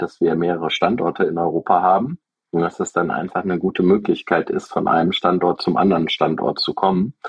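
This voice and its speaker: Very deep, low male speech with ordinary pitch variation. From Germany, Aachen. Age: 40s. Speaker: software company founder and CEO. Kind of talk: interview. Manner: hesitant, many fillers.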